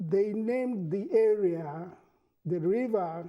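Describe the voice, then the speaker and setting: With a high pitch and a dark, mellow tone, a man speaks with ordinary pitch variation. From Cameroon. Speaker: artist. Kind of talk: TV interview. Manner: halting.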